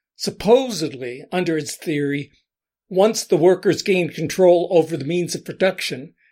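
A man speaks with an American accent in a plain, everyday voice, with ordinary pitch variation. He keeps a moderate pace on a very clean recording with a silent background. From US Northeast, Allentown, Pennsylvania. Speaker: podcast host. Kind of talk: scripted monologue. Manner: measured, essay-like delivery.

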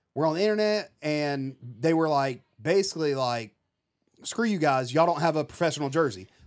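With lively intonation and a fairly high pitch, a man uses a normal speaking voice at a fairly quick pace. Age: 30s. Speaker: fishing YouTuber and army veteran. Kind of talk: casual chat.

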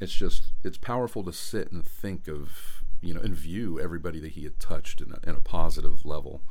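With audible room echo, a man with an American accent talks at a very fast pace in a very deep, low voice. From Florida, Tampa. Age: 40s. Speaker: podcast host. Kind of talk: personal reflection monologue. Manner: halting, many fillers.

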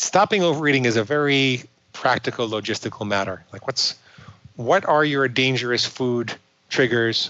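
An unremarkable speaking voice from a man with an American accent, medium pitch, ordinary pitch variation and a moderate pace. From New York. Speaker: psychologist and binge eating coach. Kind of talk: podcast interview.

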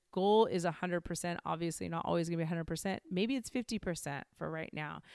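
A woman talks in an ordinary speaking voice at medium pitch and a moderate pace, with ordinary pitch variation, in a very clean recording with a silent background. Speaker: podcast host. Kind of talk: guided meditation and solo podcast monologue. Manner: warm, conversational.

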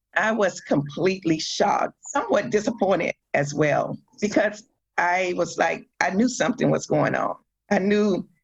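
A woman with a medium-pitched, somewhat breathy voice speaks at a fairly slow pace with lively intonation and very even loudness. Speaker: metastatic breast cancer survivor and advocate. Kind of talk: testimony.

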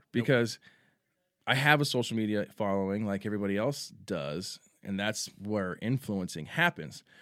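A man speaks with a Texan accent and lively intonation. The recording is very clean, with a silent background. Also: fairly low pitch for a man, moderate pace. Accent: Texan American. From San Antonio, Texas. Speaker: sports superfan and local celebrity. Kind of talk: casual chat. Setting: studio.

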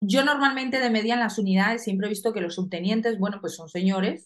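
A woman's unremarkable speaking voice, medium in pitch with lively intonation. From Colombia. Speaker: soldier. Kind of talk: casual chat.

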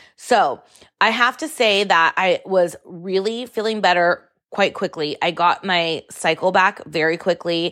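Speaking fairly slowly at a medium pitch, a woman has a bright, sharp, animated tone with ordinary pitch variation. The recording is very clean, with a silent background. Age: 40s. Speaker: podcast host. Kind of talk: casual monologue.

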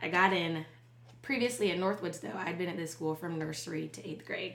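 With an American accent, a woman talks at a moderate pace in a fairly low pitch, with audible room echo and noticeable background noise. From Charleston, South Carolina. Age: 30s. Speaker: business co-founder. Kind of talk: casual interview.

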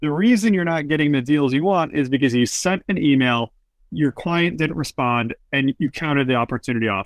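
A man with an unremarkable speaking voice talks fairly quickly at a fairly high pitch, his intonation lively and his loudness very even. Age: 30s. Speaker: real estate podcast host. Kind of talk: interview. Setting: call.

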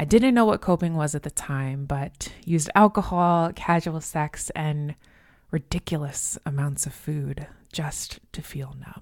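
Very deep, low female voice with ordinary pitch variation. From US, moved around (military family). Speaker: podcast host, holistic coach. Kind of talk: solo monologue, self-help talk.

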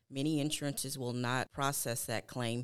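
Speaking in an East Texas accent, a woman has a very deep, low pitch. She talks at a fairly quick pace on a very clean recording with a silent background. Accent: East Texas Southern. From East Texas (Newton). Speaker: medical billing manager. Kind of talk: explanatory discussion.

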